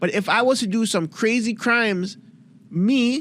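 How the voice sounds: Speaking at a fairly slow pace, a man with a high pitch and a fairly bright tone shows ordinary pitch variation.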